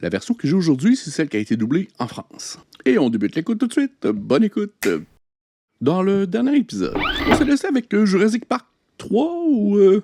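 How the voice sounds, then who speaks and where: Delivery is at a fairly quick pace, broken by long, frequent pauses. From Quebec. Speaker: YouTube reaction creator. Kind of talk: casual reaction commentary.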